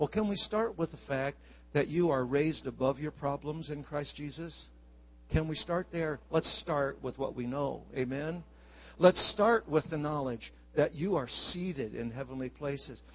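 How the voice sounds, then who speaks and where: The voice is somewhat breathy, with an animated, warm tone. It moves at a moderate pace with ordinary pitch variation. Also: man, fairly high pitch for a man. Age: 60s. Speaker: visiting preacher. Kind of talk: sermon. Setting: church with congregation.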